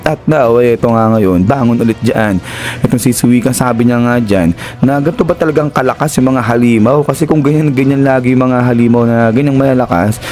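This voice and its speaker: The delivery is fairly quick and animated in tone, at a very even loudness. Music plays in the background. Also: man, medium pitch for a man, ordinary pitch variation. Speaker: anime recap narrator. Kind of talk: casual recap narration.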